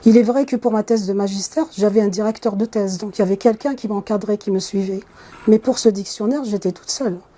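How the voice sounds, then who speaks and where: Her pace is very fast. The woman's pitch is fairly high and her intonation fairly even. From Kabylie, Algeria. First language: Kabyle (speaking French). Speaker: computer science professor. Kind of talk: interview. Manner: hesitant with fillers.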